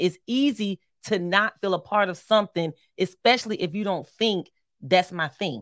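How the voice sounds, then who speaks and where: A woman's voice, an ordinary speaking voice, with an American accent, medium pitch and moderate pace, dry and close with no echo, in a very clean recording with a silent background. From Philadelphia, US. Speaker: marriage podcast co-host. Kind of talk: casual chat.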